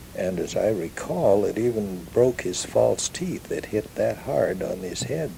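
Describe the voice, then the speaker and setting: A man talks fairly slowly in an American accent, with hardly any pauses. Noticeable background noise runs beneath him. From Ellensburg area, Kittitas County, Washington, USA. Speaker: ranch-raised oral historian. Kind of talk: oral history recollection.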